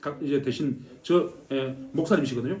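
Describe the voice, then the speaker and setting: A man's voice at a fairly quick pace. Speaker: missionary. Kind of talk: mission report talk at church. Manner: fast.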